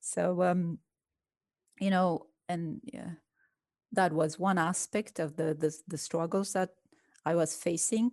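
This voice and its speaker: In a Romanian accent, a woman speaks at a very slow pace with long, frequent pauses, a fairly low pitch and ordinary pitch variation, in a dry, close sound with no echo. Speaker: chemistry professor. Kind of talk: interview conversation.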